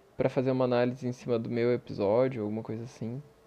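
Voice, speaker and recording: Pitched at a medium level, a man talks at a very fast pace. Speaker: podcast host. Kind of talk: personal monologue.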